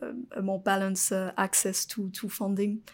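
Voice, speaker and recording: Her intonation is monotone and flat. The woman is heard in a very clean recording with a silent background. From France. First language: French. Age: 20s. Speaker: venture capitalist. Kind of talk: interview. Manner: halting, many fillers.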